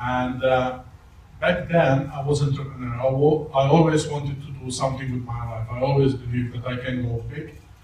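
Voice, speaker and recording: A man with a non-native accent speaks at a moderate pace and medium pitch in a monotone, flat intonation, with audible room echo. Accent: foreign accent, non-native English. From Malta. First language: not English (English is third language). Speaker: network marketing presenter. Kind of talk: testimony. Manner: halting.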